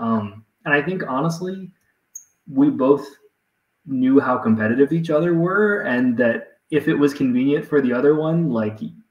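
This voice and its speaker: There is audible room echo around a man whose pitch varies in an ordinary way. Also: moderate pace. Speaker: guest. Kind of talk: interview answer. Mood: reflective, relaxed. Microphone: video call.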